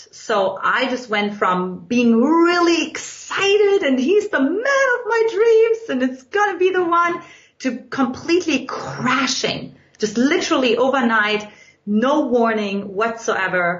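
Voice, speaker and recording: A woman with a German accent speaks at a fairly slow pace in a high voice with very wide pitch swings, with audible room echo and noticeable background noise. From Eastern Germany. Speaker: relationship coach. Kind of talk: podcast interview.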